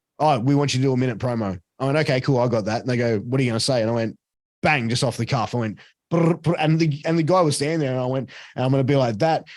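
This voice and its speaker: With an Australian accent, a man talks at a very fast pace. His pitch is medium, with ordinary variation. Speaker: ring announcer and commentator. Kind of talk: interview answer. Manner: casual, animated.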